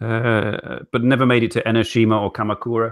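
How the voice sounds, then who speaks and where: A man speaks with a British accent. His pitch sits at medium. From UK. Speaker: talk show host. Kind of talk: casual chat. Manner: halting, many repeats and fillers.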